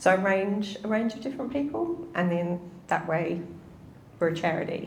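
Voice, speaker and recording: With a New Zealand accent, a woman talks at a moderate pace with lively intonation, amid noticeable background noise and audible room echo. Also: medium pitch for a woman. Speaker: pensions researcher. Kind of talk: interview in front of a live audience.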